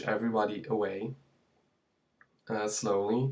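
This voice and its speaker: Speaking at a very slow pace, a man keeps a fairly low pitch and fairly even intonation. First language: not English. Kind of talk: personal story told to camera. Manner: hesitant, many fillers.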